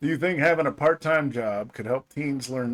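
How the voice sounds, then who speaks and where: A man talks at a moderate pace with an American accent and lively intonation. He has a normal speaking voice. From Georgia, US. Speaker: podcast co-host, parent. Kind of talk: casual chat.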